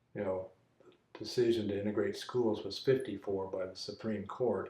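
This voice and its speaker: A man's fairly low, dark and mellow voice, somewhat breathy, at a moderate pace. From US, Army family moving between posts. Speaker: church member interviewed for archive. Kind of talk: oral history interview. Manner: halting, with many fillers.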